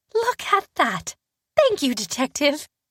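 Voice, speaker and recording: A female-sounding put-on character voice, high-pitched for a woman, at a fairly slow pace. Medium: read story. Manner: earnest, sweet.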